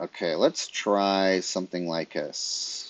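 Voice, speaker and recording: A man with a very deep, low pitch is heard in a dry, close sound with no echo. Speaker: electronics engineer streaming PCB design. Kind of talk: live tutorial. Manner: casual, thinking aloud.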